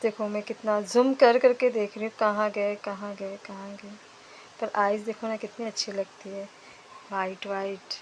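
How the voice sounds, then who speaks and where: A soft-spoken woman talks at a fairly slow pace and a medium pitch. Her intonation stays monotone and flat, yet her loudness swings a lot. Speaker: vlogger, mother. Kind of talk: travel vlog narration. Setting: outdoors in snowy valley.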